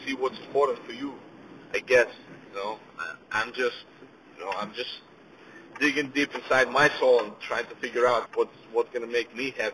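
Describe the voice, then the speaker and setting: A man speaks at a moderate pace in a fairly high pitch, with ordinary pitch variation and noticeable background noise. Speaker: podcast host and small business owner. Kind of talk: casual solo monologue. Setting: in a car, driving. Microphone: car Bluetooth system, poor sound quality.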